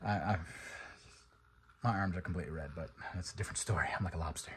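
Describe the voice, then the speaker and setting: Mumbling at a very fast pace, a man keeps his pitch variation ordinary. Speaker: car enthusiast vlogger. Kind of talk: casual vlog monologue.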